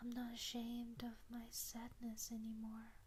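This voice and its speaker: Whispering at a very slow pace, the speaker is soft-spoken. The tone is gentle. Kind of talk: soft-spoken ASMR letter, sleep-time comfort audio. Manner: soft-spoken, whispery, slow, gentle.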